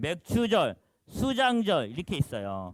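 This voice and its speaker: The sound is close and dry, without any echo. A man is the one talking. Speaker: pastor teaching a Bible class. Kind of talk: lecture. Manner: fast.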